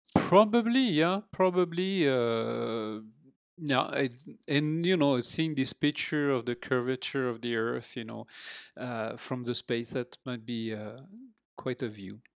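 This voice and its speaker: Delivered at a very slow pace with lively intonation, this voice has a French accent and a dry, close sound with no echo. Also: man, medium pitch for a man, very clean recording, silent background. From France, Normandy (near Rouen). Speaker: father and retired teacher. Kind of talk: casual interview. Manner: halting, many fillers.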